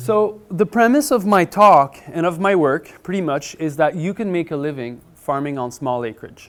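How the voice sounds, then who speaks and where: This man has a Quebec accent. He talks at a moderate pace with ordinary pitch variation. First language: French. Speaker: market gardener and author. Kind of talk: conference presentation. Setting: conference room with audience. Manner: animated.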